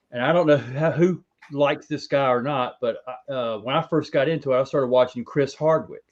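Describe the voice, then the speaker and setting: A man with an unremarkable speaking voice and fairly high pitch talks at a fairly quick pace with fairly even intonation. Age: 40s. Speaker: ball python breeder. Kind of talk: casual chat.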